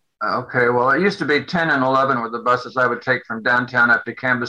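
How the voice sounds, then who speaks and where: Talking at a very fast pace, a man with a medium pitch and a bright, sharp tone keeps his intonation fairly even. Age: old. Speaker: retiree, bus rider attending public meeting. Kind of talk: public meeting discussion.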